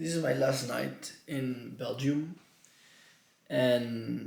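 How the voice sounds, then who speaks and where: A man talks extremely slowly, his voice bouncing noticeably off the room. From Mallorca, Spain. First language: Catalan (Mallorcan). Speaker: vlogger. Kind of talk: personal vlog. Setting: his room at home. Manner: halting.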